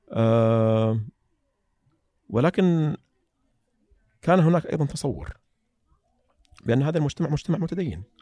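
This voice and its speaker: In a dry, close recording with no echo, a man with a fairly high pitch and a dark, mellow tone speaks at a fairly slow pace with lively intonation and long, frequent pauses. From Saudi Arabia, Eastern Province (Saihat, Qatif). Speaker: petroleum engineer and writer. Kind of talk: casual interview conversation. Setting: studio.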